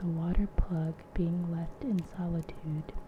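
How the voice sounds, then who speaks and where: Soft-spoken voice over noticeable background noise. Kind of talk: ASMR audiobook reading of a classic novel. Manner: soft-spoken, relaxing.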